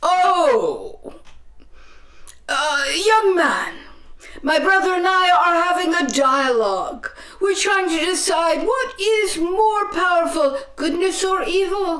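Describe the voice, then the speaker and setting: A woman performs a put-on character voice at an extremely high pitch with lively intonation. She goes at a fairly slow pace with very even loudness and audible echo. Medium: stage play. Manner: hesitant, stammering politeness.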